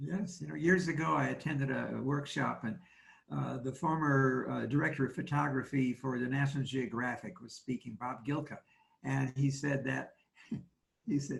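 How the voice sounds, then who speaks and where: A man with a medium pitch and vocal fry talks at a moderate pace, his pitch varying in an ordinary way. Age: 80s+. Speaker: photography teacher. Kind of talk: casual chat.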